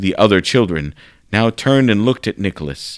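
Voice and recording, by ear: Lively intonation marks this natural read-aloud voice.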